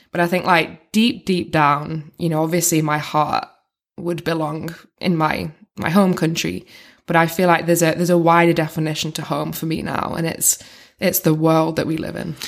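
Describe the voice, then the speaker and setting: At a moderate pace, the voice carries vocal fry and fairly even intonation, on a very clean recording with a silent background. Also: woman, fairly low pitch for a woman. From northwest England, Wigan. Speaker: gender equality advocate. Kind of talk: interview conversation. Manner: many fillers and restarts.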